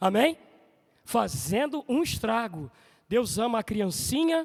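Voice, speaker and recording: A man speaks at a fairly slow pace. His pitch is extremely high, with very wide swings. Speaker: preacher. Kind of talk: sermon. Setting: church. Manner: animated.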